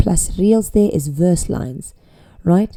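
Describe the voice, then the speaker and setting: A woman speaks fairly slowly in a dark, mellow tone. Her intonation is lively. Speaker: teacher. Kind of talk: tutorial.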